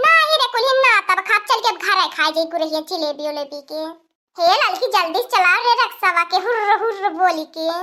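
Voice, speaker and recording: Putting on a cartoonish character voice, a woman speaks at an extremely high pitch with lively intonation and a moderate pace. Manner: rustic, bossy.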